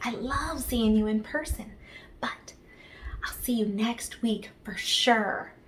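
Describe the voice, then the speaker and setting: A soft-spoken woman amid audible room echo. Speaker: children's ministry leader. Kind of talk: children's devotional talk.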